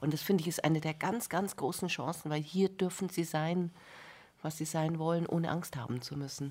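At a moderate pace, a woman talks in an ordinary speaking voice, fairly low in pitch with fairly even intonation. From Bavaria. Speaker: music journalist, cultural scientist. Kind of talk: radio interview. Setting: radio studio.

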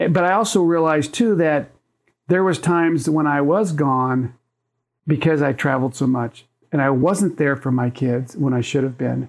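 In an ordinary speaking voice, a man talks at a moderate pace and a fairly high pitch, with ordinary pitch variation. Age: 60s. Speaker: photographer. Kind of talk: interview.

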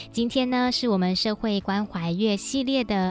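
A woman speaks at a moderate pace and a medium pitch, with ordinary pitch variation, over music in the background. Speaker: radio host. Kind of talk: radio talk show interview.

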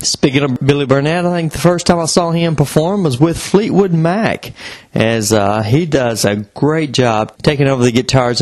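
This man has a plain, everyday voice, speaking at a moderate pace with lively intonation. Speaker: podcast co-host. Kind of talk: podcast intro and outro.

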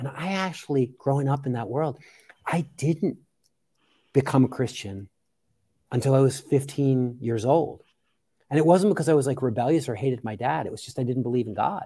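A man with an American accent, a dark, mellow tone, a somewhat breathy quality and long, frequent pauses. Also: medium pitch for a man, ordinary pitch variation, fairly quick pace. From US, Philadelphia area. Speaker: podcaster and humanist community leader. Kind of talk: casual chat.

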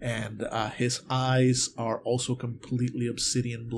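Only an unforced reading voice

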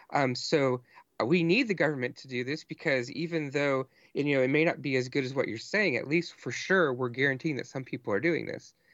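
Fairly high in pitch with ordinary pitch variation, a man with an ordinary speaking voice talks at a fairly quick pace. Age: 30s. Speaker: podcaster with divinity degree. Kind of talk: casual chat.

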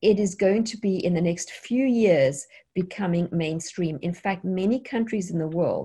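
A woman speaks at a moderate pace in a dark, mellow, somewhat breathy tone. Her pitch is medium with ordinary variation. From South Africa. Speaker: programmer and online tech teacher. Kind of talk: interview.

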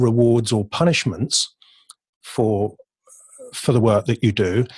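On a very clean recording with a silent background, a man with an English accent speaks at medium pitch, sounding somewhat breathy. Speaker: poet and creative coach. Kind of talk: casual interview chat.

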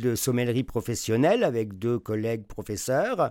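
A very clean recording of a man's dark, mellow tone against a silent background. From France. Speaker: wine journalist and sommelier teacher. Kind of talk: interview.

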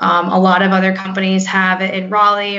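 Here is a woman with an American accent. Her pitch is medium. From North Carolina, US. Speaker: tech sales rep. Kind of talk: interview. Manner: halting, frequent repeats.

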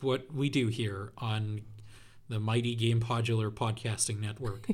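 The voice is somewhat breathy. Its loudness stays very even. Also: man, very clean recording, silent background. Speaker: podcast host. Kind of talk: casual chat.

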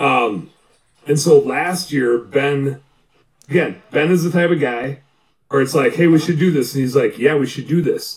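Speaking in an animated tone with a Wisconsin accent, a man has a fairly high pitch, a somewhat breathy sound, ordinary pitch variation, and a moderate pace. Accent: Upper Midwest (Wisconsin). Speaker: bookkeeper and business coach, deer hunter. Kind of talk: casual chat.

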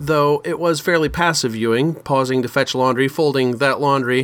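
In a plain, everyday voice, a man speaks at a moderate pace and medium pitch with fairly even intonation. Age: 50s. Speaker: podcast host. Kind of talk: solo podcast commentary.

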